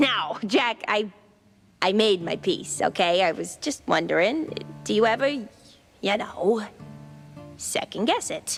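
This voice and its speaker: A cartoonish character voice, female-sounding and medium in pitch, fairly slow with long, frequent pauses, over faint music in the background. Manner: chatty, slangy.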